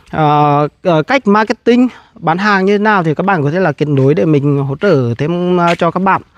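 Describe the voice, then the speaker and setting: In a dry recording with no echo, a man with a high pitch speaks at a moderate pace, his intonation lively and his loudness very even. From Vietnam, Nghệ An; Vietnam. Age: 30s. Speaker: agribusiness entrepreneur; farming entrepreneur vlogger. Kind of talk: casual vlog talk to camera. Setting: outdoors at grass farm. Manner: halting, many fillers. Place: street. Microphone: lapel.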